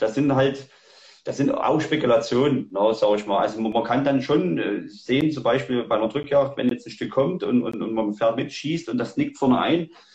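A man at a medium pitch and moderate pace, ordinary pitch variation, noticeable background noise. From Saxony, Germany. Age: 40s. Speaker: hunter and tracking dog handler. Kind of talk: livestream interview. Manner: hesitant, many fillers.

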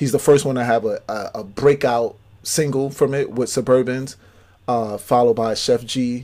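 Here a man speaks at a medium pitch and a moderate pace in a monotone, flat intonation. It is a very clean recording with a silent background. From New York City, Brooklyn (Brownsville). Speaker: podcast co-host. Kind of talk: casual chat.

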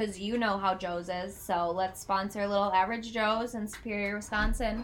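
At a moderate pace, a woman speaks with a medium pitch and monotone, flat intonation. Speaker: podcast co-host. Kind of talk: casual chat over drinks.

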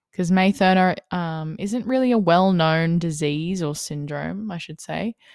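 A woman with an Australian accent and a fairly low pitch, ordinary pitch variation, and big swings in loudness, in a very clean recording over a silent background. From Australia, Wollongong NSW. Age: 20s. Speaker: podcast host and mindset coach. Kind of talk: casual monologue. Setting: home, on lounge room floor.

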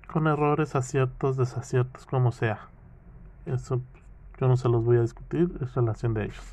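With a dark, mellow tone and a somewhat breathy quality, a man speaks at a medium pitch and a moderate pace with ordinary pitch variation. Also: long, frequent pauses. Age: 30s. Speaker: podcaster. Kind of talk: casual monologue. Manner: halting.

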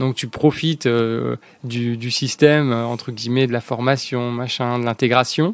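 A man's medium-pitched voice with ordinary pitch variation, dry and close with no echo. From southern France, La Ciotat (Provence). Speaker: startup founder. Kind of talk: interview.

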